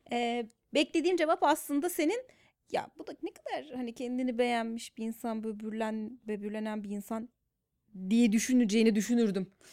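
Speaking at a moderate pace, a woman has an unremarkable speaking voice with lively intonation. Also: fairly high pitch for a woman. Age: 30s. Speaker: psychologist working in media. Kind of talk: casual chat.

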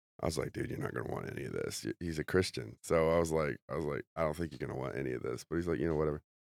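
A man with a very deep, low pitch and vocal fry talks at a very fast pace with hardly any pauses. The sound is dry and close with no echo. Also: ordinary pitch variation. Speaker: comedian. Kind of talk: casual chat. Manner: halting.

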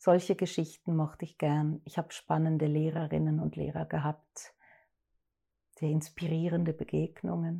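Her voice is a dark, mellow tone with very deep, low pitch, somewhat breathy. The woman speaks at a moderate pace in a monotone, flat intonation. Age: 50s. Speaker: actress and director. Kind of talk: interview.

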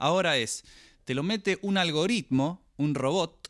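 A man talks at a fairly slow pace in a normal speaking voice with lively intonation. The recording is very clean, with a silent background. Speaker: podcast co-host. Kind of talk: casual chat.

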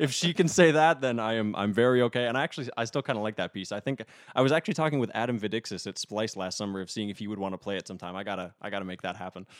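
A man speaking at a very fast pace with an American accent, animated tone and lively intonation. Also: fairly low pitch for a man, hardly any pauses, dry, close sound with no echo, very clean recording, silent background. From North Dakota (Minot), US Upper Midwest. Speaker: composer and music theory doctoral student. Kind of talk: casual interview conversation. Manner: animated, laughs often.

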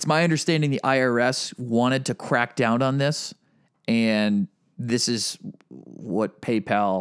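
With an American accent, a man has an unremarkable speaking voice at a medium pitch with ordinary pitch variation, in a dry, close sound with no echo on a very clean recording with a silent background. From Massachusetts. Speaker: podcast co-host. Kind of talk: casual chat.

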